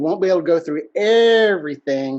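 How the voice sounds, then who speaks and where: A man is speaking. He has a Texas accent. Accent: country Texas. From Texas, Huntsville (rural East Texas). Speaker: business networking consultant. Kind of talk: webinar presentation. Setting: video webinar.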